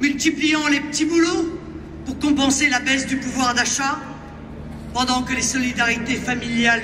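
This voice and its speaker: Against noticeable background noise, a woman with a high pitch talks at a fairly slow pace with ordinary pitch variation. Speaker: far-right party leader giving a speech. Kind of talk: political rally speech. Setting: outdoors, rally in a public square. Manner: oratorical, forceful, with crowd address.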